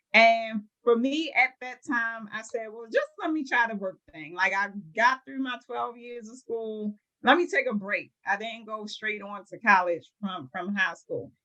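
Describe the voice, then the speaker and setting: With a Baltimore accent, a woman talks at a fairly slow pace in a fairly high, bright, sharp voice with lively intonation. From Baltimore, Maryland. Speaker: home care business owner. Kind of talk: interview.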